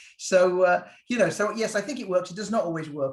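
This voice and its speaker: A man with a British accent at a very fast pace, with ordinary pitch variation. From Britain. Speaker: physician. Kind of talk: Q&A talk on a video call. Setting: video call. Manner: casual, hesitant with fillers.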